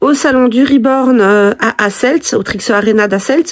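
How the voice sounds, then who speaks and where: A woman's voice, high in pitch. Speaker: reborn doll collector vlogger. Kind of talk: casual vlog. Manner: hesitant, many fillers.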